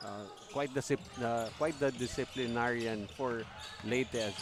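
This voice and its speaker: A soft-spoken man talks at a moderate pace. Noticeable background noise is present. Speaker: basketball color commentator and coach. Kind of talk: live sports commentary. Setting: live broadcast at a basketball venue.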